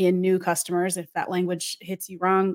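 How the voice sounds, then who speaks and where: Her pitch sits in the medium range for a woman. No background sound intrudes on this very clean recording. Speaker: podcast host. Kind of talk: casual interview chat. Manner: animated, humorous.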